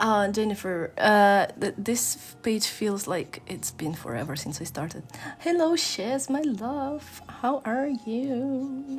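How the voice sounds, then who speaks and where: Somewhat breathy, a woman speaks at a very slow pace with a fairly high pitch. Her pitch swings very widely. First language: not English. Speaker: art streamer. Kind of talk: casual chat. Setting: live stream. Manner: sounds stern or angry in tone.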